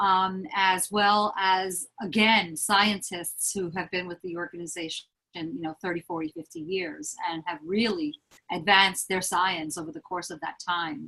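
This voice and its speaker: A woman speaks with a New York accent at a fairly slow pace, her tone bright and sharp. Her pitch is medium with ordinary variation, and her loudness swings widely. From Lower East Side, Manhattan, New York. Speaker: HR business partner. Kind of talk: interview answer.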